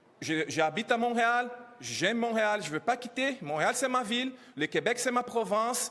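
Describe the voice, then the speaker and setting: With a non-native accent, a man talks at a fairly slow pace, his high pitch carried by lively intonation. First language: not French (speaking French). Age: 30s. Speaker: immigrant educator speaking at press conference. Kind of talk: press conference testimony. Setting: press conference. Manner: halting.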